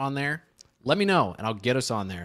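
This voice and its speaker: Speaking very fast, a man talks with an American accent. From Chicago. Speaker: podcast host. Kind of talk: casual chat.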